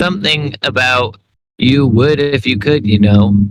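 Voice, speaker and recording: A man puts on a character voice, talking at a moderate pace with a medium pitch. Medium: read story. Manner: wistful, plaintive.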